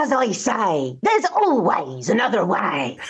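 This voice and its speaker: The speaker puts on a character voice at a fairly high pitch. Delivery is at a fairly slow pace. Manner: gruff, catchphrase.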